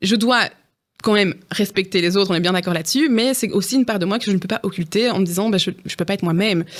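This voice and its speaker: On a very clean recording with a silent background, a woman speaks. Her pitch is medium, with ordinary pitch variation. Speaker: neuropsychologist. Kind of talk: interview. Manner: fast; loud, very expressive.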